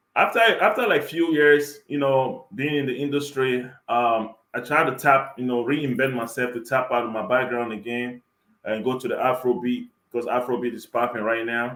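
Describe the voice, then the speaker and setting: A man in an African accent talks at a moderate pace with a medium pitch and fairly even intonation. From Cameroon, then Germany. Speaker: rapper and record producer. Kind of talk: interview.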